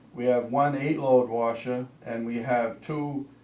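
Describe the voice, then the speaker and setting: Speaking at a very slow pace, a man uses a medium pitch and fairly even intonation over noticeable background noise. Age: 70s. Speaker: laundromat owner speaking at town meeting. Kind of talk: public comment at town board meeting. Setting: town office meeting room. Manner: halting, repetitive.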